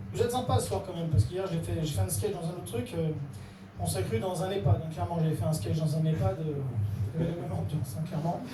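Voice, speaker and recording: A man speaks very fast at a fairly high pitch, with very wide pitch swings. Noticeable background noise is present. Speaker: actor and stand-up comedian. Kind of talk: stand-up comedy set. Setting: comedy club with live audience.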